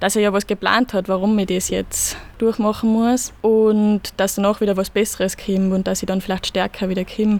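A woman speaks at a moderate pace and a medium pitch. Her intonation is flat and monotone. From Austria, Salzburg (Pinzgau). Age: 20s. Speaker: ski racer. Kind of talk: interview. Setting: outdoors in a parish garden.

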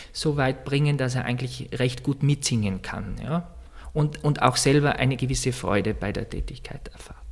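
Vocal fry runs through this moderately paced delivery with fairly even intonation. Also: man. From Austria, East Tyrol. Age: 30s. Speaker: church music director. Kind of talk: interview. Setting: office in a monastery.

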